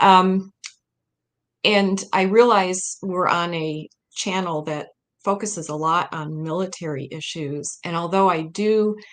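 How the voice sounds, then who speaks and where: Fairly low-pitched for a woman, with a Midwestern American accent, ordinary pitch variation and a fairly slow pace against a quiet background. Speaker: historian and author. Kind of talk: interview presentation.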